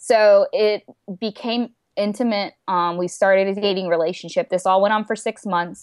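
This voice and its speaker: Here a woman has a plain, everyday voice at medium pitch. Her pace is moderate and her intonation fairly even. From India-born, raised in US. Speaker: paralegal and anti-trafficking speaker. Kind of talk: casual interview, personal testimony.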